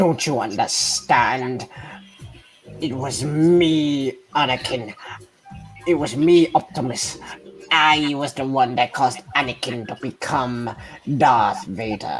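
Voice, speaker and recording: This is a raspy, put-on character voice pitched low to middle. It moves at a fairly slow pace over faint background music. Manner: sly and menacing.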